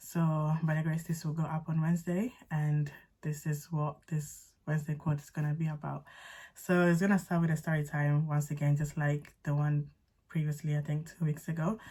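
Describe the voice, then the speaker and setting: Somewhat breathy and dark in a mellow way, a woman's very deep, low voice stays monotone and flat. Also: very clean recording, silent background. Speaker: faith and lifestyle vlogger. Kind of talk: testimony story time. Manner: fast; casual, chatty.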